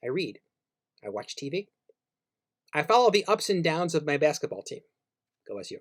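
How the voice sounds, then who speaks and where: A fairly high-pitched man with vocal fry, at a fairly quick pace. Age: 60s. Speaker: radio co-host and music writer. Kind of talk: commentary with reading aloud from own book. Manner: reflective.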